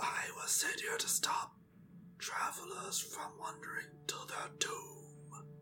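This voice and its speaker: A put-on character voice whispers hoarsely at a fairly slow pace. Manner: hoarse forced whisper.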